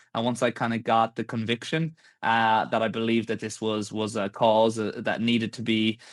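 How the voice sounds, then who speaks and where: Recorded dry and close with no echo and a quiet background, a man speaks at a moderate pace. His medium-pitched voice stays monotone and flat. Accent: Irish. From Ireland. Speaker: tech startup founder. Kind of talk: podcast interview.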